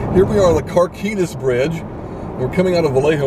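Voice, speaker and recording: Against loud background noise, a man speaks at a fairly quick pace with ordinary pitch variation, in a dry sound with no echo. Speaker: passenger vlogger. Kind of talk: casual vlog chat. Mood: jokey, playful banter. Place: car. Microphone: phone near.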